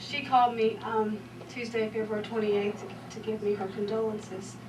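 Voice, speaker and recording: A woman speaks at a fairly quick pace with a medium pitch. There is noticeable background noise and audible room echo. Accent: Southern US. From US South. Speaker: former student speaking at memorial. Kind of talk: memorial tribute speech. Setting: memorial service. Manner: halting.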